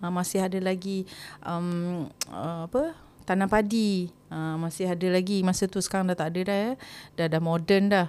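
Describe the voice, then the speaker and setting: Over a silent background in a very clean recording, the speaker talks at a moderate pace with fairly even intonation. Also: woman, medium pitch for a woman. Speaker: singer hosting a personal storytelling podcast. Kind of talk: casual storytelling monologue. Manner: halting, many fillers.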